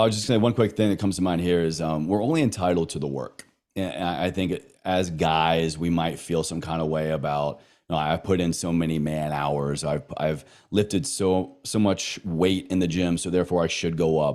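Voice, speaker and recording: A man with an American accent speaks in a very deep, low voice. His pace is moderate, with ordinary pitch variation. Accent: slight Southern, occasionally noticeable. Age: 30s. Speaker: wellness coach and podcaster. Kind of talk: casual chat. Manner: emphatic.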